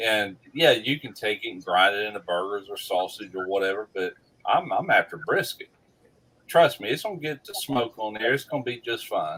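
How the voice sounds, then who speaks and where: A man talks in a Mississippi accent. His loudness swings widely. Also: moderate pace. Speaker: barbecue YouTuber. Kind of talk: casual chat.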